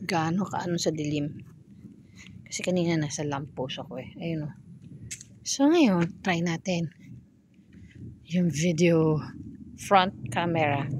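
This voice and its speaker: A woman speaks very slowly with long, frequent pauses, a fairly low and somewhat breathy voice, ordinary pitch variation and big swings in loudness. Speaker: vlogger. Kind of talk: casual vlog walk-through. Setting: outdoors at night, walking on the street. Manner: casual, halting with fillers.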